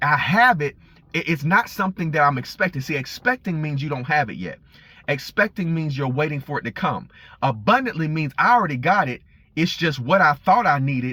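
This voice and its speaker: Bright and sharp in tone, a man's fairly high voice moves at a fairly quick pace with lively intonation. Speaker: preacher. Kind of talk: informal sermon. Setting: in a car. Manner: fast; halting with repetitions.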